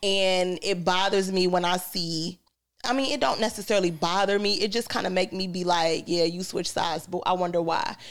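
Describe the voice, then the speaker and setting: The recording is very clean with a silent background. The pace is moderate and the intonation fairly even. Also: woman, medium pitch for a woman. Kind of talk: casual chat. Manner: loud.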